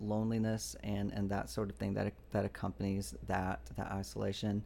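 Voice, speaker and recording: A man with an American accent, a fairly low pitch and ordinary pitch variation. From US South, Georgia. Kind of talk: testimony. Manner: halting.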